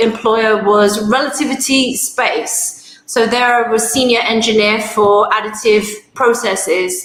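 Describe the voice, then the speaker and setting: A woman's fairly high voice in a London accent, very slow with hardly any pauses and very even loudness, over audible room echo and noticeable background noise. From London, England. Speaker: aerospace engineer and industry manager. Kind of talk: self-introduction at online networking event.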